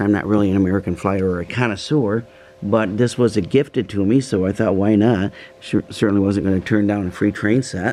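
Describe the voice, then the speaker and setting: A man talks at a fairly quick pace in a fairly low voice. His intonation stays fairly even. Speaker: model train hobbyist. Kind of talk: casual video narration. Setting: home, upstairs room. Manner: quiet, subdued.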